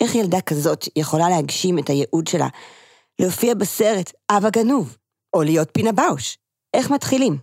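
A woman's voice with very wide pitch swings and very even loudness throughout. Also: medium pitch for a woman, moderate pace, dry, close sound with no echo. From Israel, Kfar Saba. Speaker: puppeteer and clown. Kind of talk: scripted intro and casual interview.

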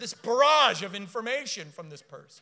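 A raised, projected voice with an American accent, lively intonation and a bright, sharp tone. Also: man. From US South, South Florida. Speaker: preacher. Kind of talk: sermon.

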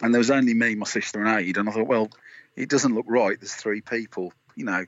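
With a West Midlands accent, a man speaks at a fairly low pitch with fairly even intonation. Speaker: indie musician. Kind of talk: interview. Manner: halting, many fillers.

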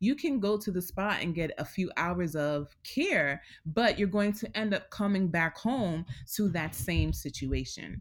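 An unremarkable speaking voice with an American accent and lively intonation moves at a fairly slow pace in a very clean recording with a silent background. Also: woman, fairly low pitch for a woman. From New York City, Queens. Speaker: therapist and wellness coach. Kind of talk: interview.

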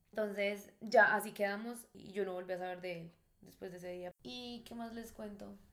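Room echo is audible in this recording. A woman speaks at a medium pitch. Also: fairly even intonation, moderate pace, big swings in loudness. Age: 20s. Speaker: bar hostess. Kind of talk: personal storytelling.

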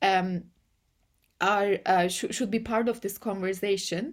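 A woman with a Turkish accent speaks at a fairly slow pace, her medium-pitched voice keeping a fairly even intonation. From Turkey. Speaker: AI policy and ethics researcher. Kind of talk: interview. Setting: remote call. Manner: halting, many fillers.

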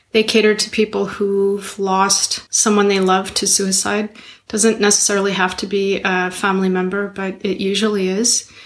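Noticeable background noise runs under a woman's medium-pitched voice. She talks at a moderate pace in a monotone, flat intonation. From Montreal, Quebec. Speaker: mental health advocate and yoga center owner. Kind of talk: interview conversation. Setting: video call.

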